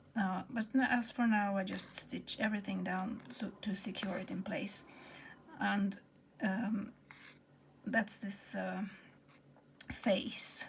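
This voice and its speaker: A woman with a Swedish accent talks at a very slow pace, leaving long, frequent pauses. Her medium-pitched voice keeps fairly even intonation. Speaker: textile artist. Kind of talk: tutorial. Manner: halting.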